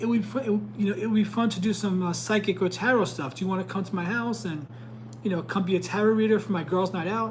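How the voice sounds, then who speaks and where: Noticeable background noise sits behind a man talking at a very fast pace. His voice is high-pitched with lively intonation. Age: 40s. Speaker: tarot reader and psychic. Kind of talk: live stream tarot reading. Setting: live stream. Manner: stumbles over words.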